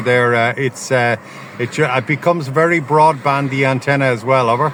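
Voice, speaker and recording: At a moderate pace and with fairly even intonation, a man talks at a fairly high pitch over noticeable background noise. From Ireland. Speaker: ham radio operator. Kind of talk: radio contact. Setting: outdoors portable station by a road.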